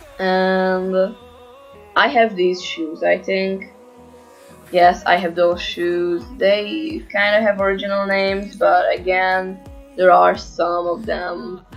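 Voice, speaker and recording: Over music in the background, a woman talks at a very slow pace with a medium pitch and fairly even intonation. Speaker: gaming commentator. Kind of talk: casual gameplay commentary.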